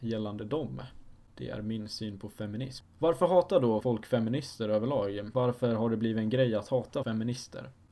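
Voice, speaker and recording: Ordinary pitch variation from a man with a dark, mellow tone. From Sweden, Dalarna (Falun). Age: young. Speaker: podcast host, student. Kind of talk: casual solo monologue.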